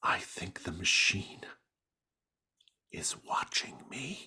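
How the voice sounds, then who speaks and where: Speaking very slowly, a man adopts a put-on character voice that is raspy and sits at a medium pitch. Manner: hushed, uneasy.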